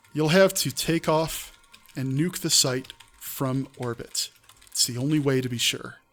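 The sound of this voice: The voice reads without strain. It stays unforced.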